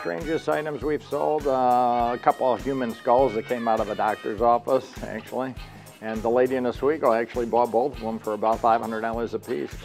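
Faint music plays behind a man with an American accent who speaks at a fairly quick pace with ordinary pitch variation. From Central New York. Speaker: auctioneer. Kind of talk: interview answer. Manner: casual. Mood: relaxed, friendly. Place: office.

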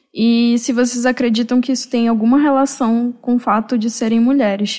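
Here a woman speaks at a high pitch. Her tone is dark and mellow. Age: 20s. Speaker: podcast co-host, graduate student. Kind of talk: interview moderation.

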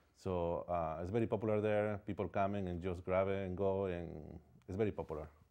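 Speaking in a Spanish accent, a man has a very deep, low pitch and a dark, mellow tone. His pace is fairly quick and his intonation monotone and flat. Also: quiet background. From Ecuador. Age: 40s. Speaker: painter. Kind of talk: interview. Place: studio. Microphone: lapel.

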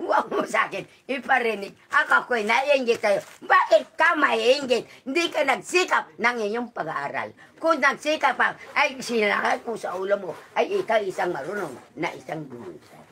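A woman at a moderate pace, high-pitched, with very wide pitch swings and big swings in loudness. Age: 80s+. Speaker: elderly villager. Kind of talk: casual chat. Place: home room. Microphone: phone near.

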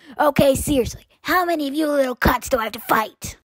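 This is a put-on character voice that sounds female, with a high pitch. It moves at a very fast pace. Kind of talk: comic fan dub. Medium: fan dub. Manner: brash, crude, aggressive.

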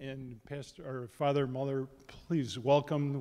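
This is a man's voice. He speaks at a moderate pace. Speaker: event host introducing speaker. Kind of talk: formal introduction. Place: church. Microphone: handheld.

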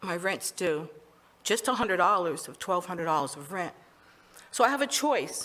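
A woman speaks at a moderate pace in a bright, sharp tone with lively intonation. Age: 60s. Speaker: public commenter. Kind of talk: testimony. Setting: public hearing in a meeting chamber. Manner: halting.

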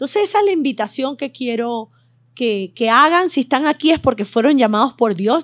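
A woman's normal speaking voice, lively in intonation and at a fairly quick pace, with a dry, close sound, no echo, and a very clean recording against a silent background. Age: 50s. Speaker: medical doctor. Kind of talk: interview with live audience. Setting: hotel venue with live audience.

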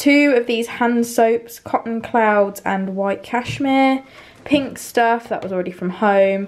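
Speaking very slowly in a British accent, a woman uses a fairly high pitch and ordinary pitch variation. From UK. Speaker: vlogger. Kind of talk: casual vlog. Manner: halting. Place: kitchen. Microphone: phone near.

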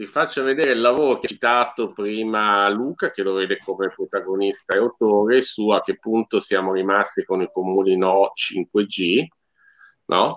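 With an ordinary speaking voice, a man speaks at a moderate pace in a fairly low pitch. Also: ordinary pitch variation. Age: middle-aged. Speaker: podcast host. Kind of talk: casual chat. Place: home room. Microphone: video call.

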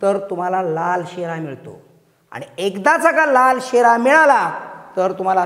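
The background is quiet. The voice shows very wide pitch swings. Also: man. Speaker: teacher character in a sketch. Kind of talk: scripted comedy sketch, teacher addressing class. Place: classroom.

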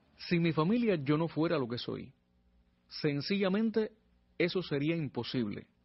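A man speaks at a high pitch with lively intonation. His pace is fairly slow, with long, frequent pauses. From Cuba, Pinar del Río. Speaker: radio announcer and singer-songwriter. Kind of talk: interview. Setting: radio studio.

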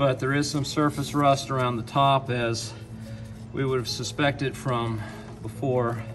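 Clear music plays in the background as the voice moves at a moderate pace with fairly even intonation. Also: man. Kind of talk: tutorial. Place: garage. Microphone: phone near.

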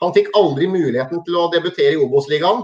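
Against a quiet background, a man with a high pitch speaks very fast. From Norway, Hamar; Norway. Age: 40s. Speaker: former football and ice hockey referee; interview guest. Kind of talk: interview. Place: home room. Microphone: video call.

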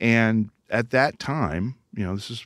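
Recorded dry with no echo against a quiet background, a man talks at a fairly low pitch with ordinary pitch variation. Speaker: guest. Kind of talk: interview answer. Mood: enthusiastic, friendly. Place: studio.

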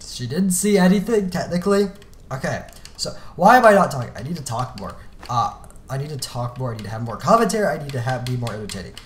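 A man with a fairly high voice talks very fast, his pitch swinging very widely and his loudness rising and falling sharply over noticeable background noise. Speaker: gaming YouTuber. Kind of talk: casual gameplay commentary. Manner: rambling, self-deprecating.

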